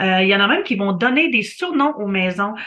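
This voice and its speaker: At a fairly quick pace, a woman talks in a medium-pitched voice. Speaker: real estate photographer. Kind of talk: reading an article aloud with commentary. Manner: fast; hesitant, many fillers.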